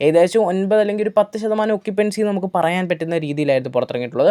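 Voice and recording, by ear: A dark, mellow tone delivered at a very fast pace with ordinary pitch variation.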